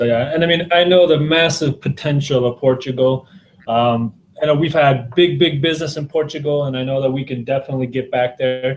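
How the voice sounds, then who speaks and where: Over music in the background, a man with a fairly high pitch talks at a very fast pace with fairly even intonation. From United States. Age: 30s. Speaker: sales director. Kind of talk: business presentation. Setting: video call.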